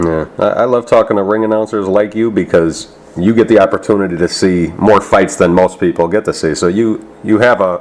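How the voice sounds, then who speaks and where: A man speaks at a moderate pace with fairly low pitch and ordinary pitch variation. Noticeable background noise runs underneath. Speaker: boxing interviewer. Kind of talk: interviewer questions.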